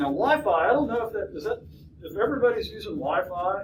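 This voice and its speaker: Noticeable background noise and audible room echo around a man speaking. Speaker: college lecturer. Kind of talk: lecture. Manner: halting, many fillers and restarts.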